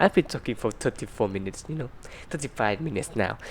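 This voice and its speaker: A man talks with a non-native accent. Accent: non-native English pronunciation. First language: Vietnamese. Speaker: YouTuber. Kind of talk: casual chat to camera. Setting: in front of a camera. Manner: halting, many fillers.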